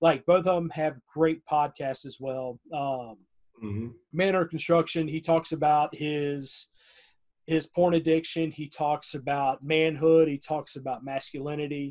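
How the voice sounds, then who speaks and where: This man speaks with a Southern US accent at a fairly slow pace. His voice is fairly high, with fairly even intonation. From US South (north Florida, near Tallahassee). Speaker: podcast host. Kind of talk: casual interview chat.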